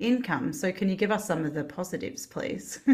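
A woman with an Australian accent at a very fast pace over noticeable background noise. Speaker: podcast host. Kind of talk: casual interview.

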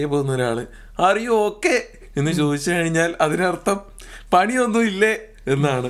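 A man's voice with very wide pitch swings. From Palakkad, Kerala. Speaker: podcast host, student. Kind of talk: casual chat.

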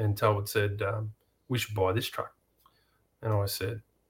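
Speaking in an Australian accent, a man talks at a fairly low pitch with monotone, flat intonation. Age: 50s. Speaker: off-road racer and race organiser. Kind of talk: casual interview chat.

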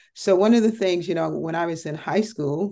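With an American accent, a woman uses an ordinary speaking voice, fairly low in pitch with ordinary pitch variation, at a fairly quick pace against a quiet background. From Connecticut, US. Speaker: entrepreneur and ministry leader. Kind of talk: interview testimony.

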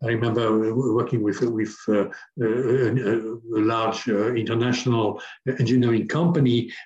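His voice is medium in pitch and somewhat breathy. The man keeps to a moderate pace. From Africa. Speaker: business coach. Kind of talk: interview.

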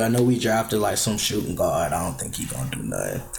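Noticeable background noise and audible room echo surround the recording. A man talks at a fairly quick pace with a medium pitch. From Bahamas. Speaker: rapper. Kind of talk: casual chat.

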